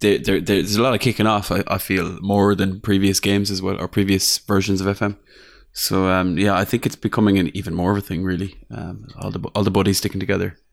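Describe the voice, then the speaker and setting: A man with an Irish accent talks at a very fast pace in a fairly low voice with fairly even intonation. The recording is very clean, with a silent background. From Ireland. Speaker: football video game podcaster. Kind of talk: casual chat.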